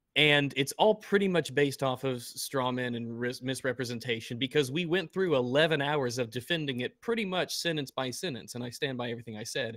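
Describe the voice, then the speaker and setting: A man with an American accent speaks in an unremarkable speaking voice at medium pitch. He goes at a fairly quick pace with hardly any pauses and ordinary pitch variation. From US South. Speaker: YouTuber. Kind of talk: casual chat.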